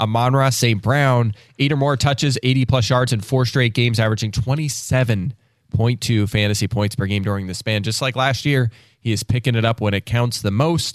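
A man with a normal speaking voice, medium pitch, fairly even intonation and a moderate pace on a very clean recording with a silent background. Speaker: fantasy football analyst. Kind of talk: casual chat.

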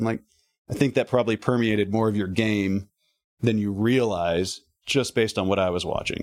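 A man in a plain, everyday voice talks at a fairly quick pace and medium pitch, on a very clean recording with a silent background. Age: 40s. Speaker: golf performance coach and amateur golfer. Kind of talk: casual interview.

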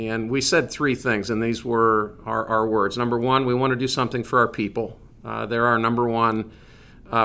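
A man with a Midwestern American accent speaks at a medium pitch in a bright, sharp tone. His intonation is monotone and flat, at a moderate pace. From Northeast Indiana. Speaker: business executive. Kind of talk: interview.

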